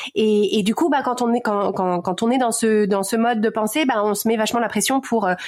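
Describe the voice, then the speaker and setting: A woman speaks at a fairly high pitch and a fairly quick pace, hardly pausing at all. Noticeable noise runs in the background. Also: ordinary pitch variation, very even loudness. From Paris region, France. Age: 40s. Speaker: podcaster and life coach. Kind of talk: interview. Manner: fast; hesitant, many fillers and repetitions.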